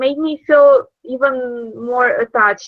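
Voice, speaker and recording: A woman speaks with a Romanian accent. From Romania, Iași. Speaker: former intern abroad. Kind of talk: interview. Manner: hesitant, many fillers.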